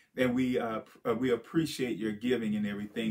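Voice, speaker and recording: A man speaks with ordinary pitch variation. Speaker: pastor. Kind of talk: sermon.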